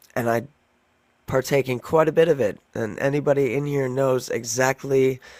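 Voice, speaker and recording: A man talks at a moderate pace in a monotone, flat intonation. His voice sounds strained and squeaky. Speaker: livestream debater. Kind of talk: heated debate. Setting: livestream.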